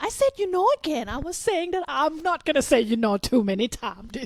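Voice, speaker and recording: The speaker is a woman with a Thai accent. Her intonation is lively. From Thailand, Bangkok. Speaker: Muay Thai fighter and gym co-owner. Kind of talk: casual podcast interview.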